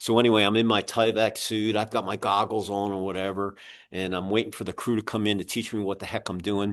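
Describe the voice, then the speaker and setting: At a very fast pace, a man talks with fairly low pitch and monotone, flat intonation. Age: 60s. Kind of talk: casual interview chat. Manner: halting.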